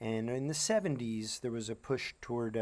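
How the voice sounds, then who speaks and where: A man at a medium pitch and a fairly quick pace, in a very clean recording with a silent background. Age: 50s. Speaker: teacher. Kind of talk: lecture. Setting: outdoors. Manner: halting.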